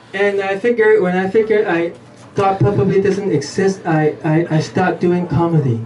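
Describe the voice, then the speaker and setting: A man's high-pitched voice at a moderate pace with ordinary pitch variation, over noticeable background noise. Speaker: stand-up comedian. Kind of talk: live stand-up comedy set. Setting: live venue with small audience.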